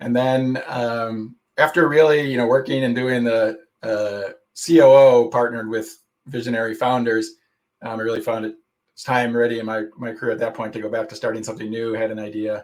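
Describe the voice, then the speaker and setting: A man with an American accent speaks fairly quickly at a medium pitch, his intonation fairly even. His loudness swings widely. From USA. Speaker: tech startup founder and executive. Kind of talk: conference talk. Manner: casual, with many fillers and hesitations.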